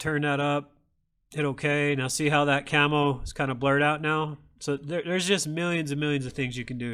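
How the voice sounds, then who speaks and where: A loud male voice, bright and sharp in tone, with a fairly high pitch, fairly even intonation and a fairly quick pace, on a very clean recording with a silent background. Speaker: sticker maker demonstrating design software. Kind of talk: tutorial. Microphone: microphone too close.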